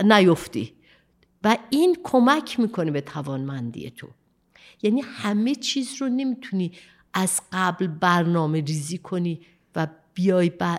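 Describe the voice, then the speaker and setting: The recording is very clean, with a silent background. A woman speaks at a moderate pace, her pitch swinging very widely. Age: 70s. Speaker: sustainability manager. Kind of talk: interview.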